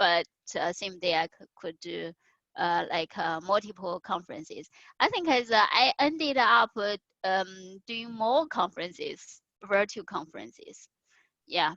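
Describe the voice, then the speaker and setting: The speaker has a Chinese accent and a bright, sharp tone, moves at a fairly slow pace with big swings in loudness, and sounds dry and close with no echo. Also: woman, medium pitch for a woman. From China. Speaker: conference speaker. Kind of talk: interview. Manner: halting, many fillers.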